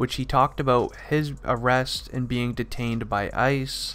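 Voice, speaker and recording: This man has an ordinary speaking voice, pitched in the medium range and delivered at a moderate pace. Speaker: commentary YouTuber. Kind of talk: casual talk to camera.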